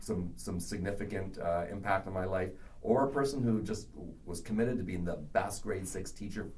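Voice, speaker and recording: Audible room echo surrounds a man speaking at a moderate pace with a fairly low pitch. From Canada. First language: not English. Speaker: education professor. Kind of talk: podcast interview.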